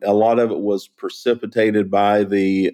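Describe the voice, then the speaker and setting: His tone comes across as dark and mellow. This man's voice sits fairly low in pitch. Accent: Southern US. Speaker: chemical industry executive and polymer expert. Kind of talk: interview explaining technical topics. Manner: clear, easy to follow.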